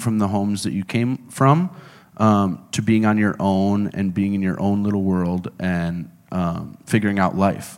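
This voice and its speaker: At a moderate pace, a man with a plain, everyday voice speaks at a fairly low pitch, captured on a very clean recording with a silent background. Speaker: interviewer. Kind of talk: interview.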